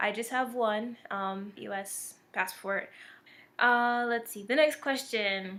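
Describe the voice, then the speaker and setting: A woman speaks very slowly at a fairly high pitch with ordinary pitch variation. Her loudness swings widely. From military brat raised in Germany, US, Japan, Turkey, Korea. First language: German. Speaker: video blogger. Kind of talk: casual vlog answering tag questions. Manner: conversational with fillers.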